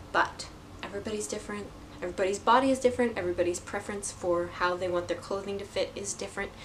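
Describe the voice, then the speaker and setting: Against noticeable background noise, a woman talks at a very fast pace with a medium pitch and fairly even intonation. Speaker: knitting podcaster. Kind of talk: casual vlog chat. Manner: halting, stuttering.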